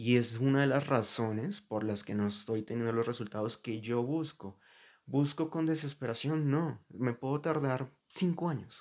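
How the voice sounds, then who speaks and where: On a very clean recording with a silent background, an unremarkable speaking voice moves at a fairly slow pace with ordinary pitch variation. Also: man, medium pitch for a man. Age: 20s. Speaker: podcaster. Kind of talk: personal monologue. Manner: casual.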